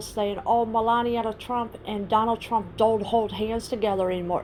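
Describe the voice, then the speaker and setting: Over music in the background, a woman speaks at a fairly high pitch with fairly even intonation. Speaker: political commentary vlogger. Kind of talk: casual talk to camera.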